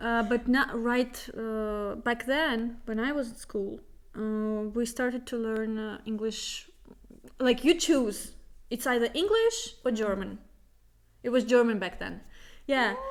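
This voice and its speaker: A woman with a Russian accent and a fairly high pitch speaks very slowly, her intonation fairly even. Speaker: podcast co-host. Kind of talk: casual chat.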